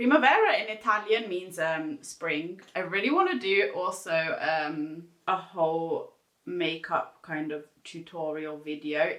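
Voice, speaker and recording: A woman speaks in a normal speaking voice with a fairly low pitch. Her pace is fairly slow and her intonation lively. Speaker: beauty YouTuber. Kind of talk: makeup tutorial. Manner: casual, chatty.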